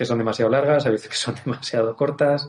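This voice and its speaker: With a dark, mellow tone, a man speaks using fairly even intonation. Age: 40s. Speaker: racing driver. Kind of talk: casual chat.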